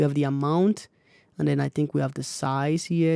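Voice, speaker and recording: A man with a dark, mellow tone and fairly high pitch speaks at a moderate pace with fairly even intonation, in a very clean recording with a silent background. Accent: African. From Africa. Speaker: music producer YouTuber. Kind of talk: tutorial. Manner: casual, hesitant with fillers.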